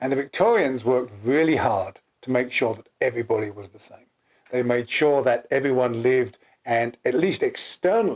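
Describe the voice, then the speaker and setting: With an English accent, a man of medium pitch talks at a moderate pace, showing ordinary pitch variation and big swings in loudness. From England. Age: 60s. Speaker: co-founder of a personality typing system. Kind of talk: casual chat.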